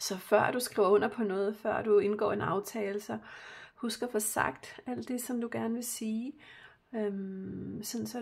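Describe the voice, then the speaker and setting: Very slowly, a woman speaks in a somewhat breathy voice. Her intonation stays fairly even. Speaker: spiritual card reader. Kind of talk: tarot-style card reading. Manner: halting, many fillers.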